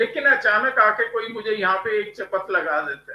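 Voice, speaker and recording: Using a raised, projected voice, the man speaks at a high pitch with ordinary pitch variation. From India. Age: 70s. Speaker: graphologist and motivational writer. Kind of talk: interview.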